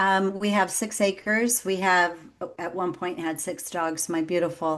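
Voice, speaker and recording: A woman speaks at a fairly slow pace with a Texan accent. Her pitch is medium, with ordinary variation, and the background is quiet. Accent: Texan American English. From Texas. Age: 50s. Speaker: executive coach. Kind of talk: podcast interview.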